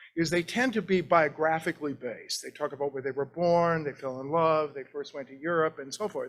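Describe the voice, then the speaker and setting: Using a normal speaking voice, a man with fairly high pitch talks at a fairly quick pace with hardly any pauses, ordinary pitch variation and big swings in loudness. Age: 60s. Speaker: art historian, professor. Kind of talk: lecture. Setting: library meeting room with audience and zoom.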